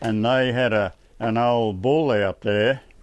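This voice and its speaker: With a rural Australian accent, a man talks in fairly even intonation. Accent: broad rural Australian. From Queensland, Australia. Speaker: retired bushman and sailor. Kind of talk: casual chat. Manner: halting.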